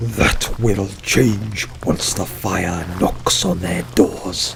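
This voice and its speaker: A man speaks very slowly in a put-on character voice with a fairly low pitch. Background noise is clearly heard. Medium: read story.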